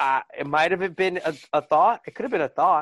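A man with an American accent and a normal speaking voice talks at a moderate pace, his fairly high pitch showing ordinary variation, in a dry, close sound with no echo against a quiet background. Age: 20s. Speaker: college student and former volunteer EMT. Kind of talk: casual chat.

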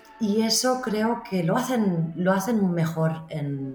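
Noticeable background noise is audible. Over it, a woman talks with lively intonation. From Spain, Barcelona. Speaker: marketing expert. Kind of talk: interview.

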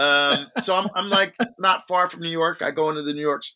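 A man speaks with a New Jersey accent. His tone is bright and sharp. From New Jersey, Jersey Shore (Long Branch). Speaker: wine podcaster and wine merchant. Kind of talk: casual chat.

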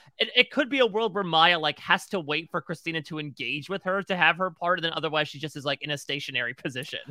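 In a very clean, dry and close recording with a silent background and no echo, a man with an American accent talks very fast with hardly any pauses, his tone bright and sharp and his pitch fairly high. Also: ordinary pitch variation. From Connecticut. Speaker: podcast co-host. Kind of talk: casual chat.

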